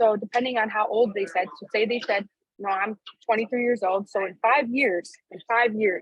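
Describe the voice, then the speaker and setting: A woman with a plain, everyday voice at a fairly high pitch shows ordinary pitch variation in a dry, close sound with no echo. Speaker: network marketing team leader. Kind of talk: training call.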